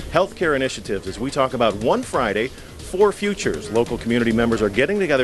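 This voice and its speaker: Music is clearly audible behind the voice. The man talks very fast. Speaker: TV show host. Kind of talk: broadcast show intro. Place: hall. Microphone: handheld.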